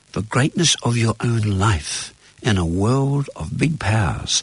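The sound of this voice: A man speaks slowly in a fairly low voice with a slightly husky edge. His intonation is lively.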